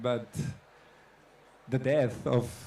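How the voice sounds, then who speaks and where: In a room with audible echo, a man speaks at a medium pitch with a dark, mellow tone and monotone, flat intonation. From Catalonia, Spain. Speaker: photographer. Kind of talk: onstage artist talk. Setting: stage with audience. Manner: halting.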